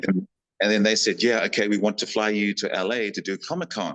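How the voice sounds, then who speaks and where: Here a man is speaking. He has a New Zealand accent. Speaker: actor and stuntman. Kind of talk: casual interview storytelling. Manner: animated.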